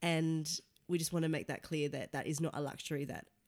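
A woman with an Australian accent talks at a very fast pace. Her pitch is very deep and low. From Sydney, Australia. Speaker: podcast co-host, journalist. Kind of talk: casual chat.

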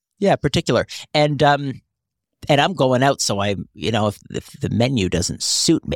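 Dry and close with no echo, a man's fairly high voice carries vocal fry and lively intonation at a moderate pace. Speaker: podcast co-host. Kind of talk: casual chat. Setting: studio.

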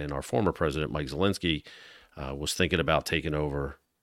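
This man has a very deep, low pitch with vocal fry and fairly even intonation. He talks at a fairly quick pace in a very clean recording with a silent background. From South Jersey, near Atlantic City. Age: 40s. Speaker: police union president. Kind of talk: casual chat.

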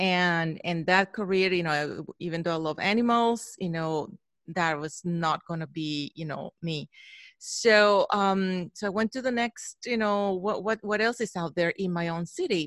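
In a very clean recording with a silent background and a dry, close sound with no echo, a speaker with a Spanish accent talks at a fairly slow pace with ordinary pitch variation. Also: woman, medium pitch for a woman. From Mexico. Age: 40s. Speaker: photographer. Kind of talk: interview. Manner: halting.

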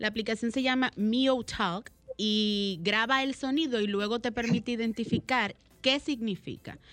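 A woman's plain, everyday voice at a fairly slow pace, fairly high-pitched with fairly even intonation, on a very clean recording with a silent background. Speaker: radio co-host. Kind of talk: radio talk show. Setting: home.

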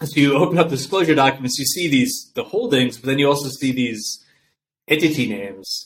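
Using a normal speaking voice, a man with an American accent talks fairly quickly at a fairly high pitch and with lively intonation. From upstate New York. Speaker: real estate investment firm founder. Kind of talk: interview conversation.

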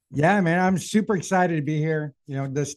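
A man's fairly high-pitched, unremarkable speaking voice at a fairly quick pace, with ordinary pitch variation. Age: 40s. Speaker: podcast co-host. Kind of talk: casual chat.

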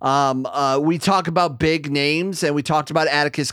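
At a moderate pace, a man speaks in a normal speaking voice, fairly high in pitch with ordinary pitch variation. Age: 30s. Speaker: wrestling commentator and former radio host. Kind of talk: casual chat. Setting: video call.

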